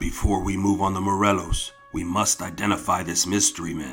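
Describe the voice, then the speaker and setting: A man's raspy, put-on character voice, fairly low in pitch, at a fairly quick pace, with faint music in the background. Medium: read story. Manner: blunt, forceful.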